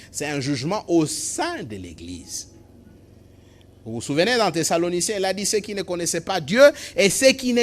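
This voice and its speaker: Pausing long and often, a man speaks at a moderate pace with lively intonation and big swings in loudness. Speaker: pastor. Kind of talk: sermon preached to a congregation.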